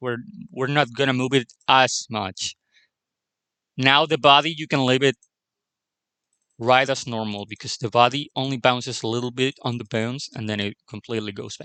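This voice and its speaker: With a non-native accent, a man speaks at a moderate pace and medium pitch in a bright, sharp tone, with fairly even intonation and long, frequent pauses, in a dry, close sound with no echo. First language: not English. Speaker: animation tutorial creator. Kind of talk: tutorial. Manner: halting.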